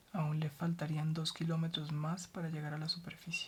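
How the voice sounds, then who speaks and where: Soft-spoken and somewhat breathy, a woman with a very deep, low pitch talks in a calm tone at a moderate pace. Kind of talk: soft-spoken ASMR book reading for sleep. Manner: soft-spoken, calm.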